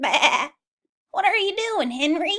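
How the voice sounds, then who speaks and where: A woman uses a put-on character voice, squeaky and pitched extremely high. She speaks in a raised, projected voice. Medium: read story.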